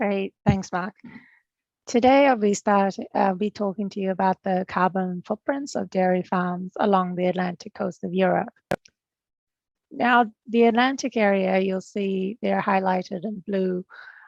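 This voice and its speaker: A woman's medium-pitched voice with a slight New Zealand accent, fairly even intonation and a fairly slow pace, over a quiet background. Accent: non-Irish, slight Kiwi. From Fiji, studied in New Zealand. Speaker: agricultural research technician. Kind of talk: presentation.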